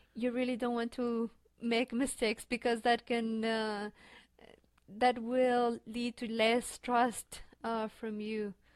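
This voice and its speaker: A woman with a Spanish accent, very slow pace and monotone, flat intonation. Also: fairly high pitch for a woman. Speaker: graduate student. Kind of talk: interview. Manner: halting.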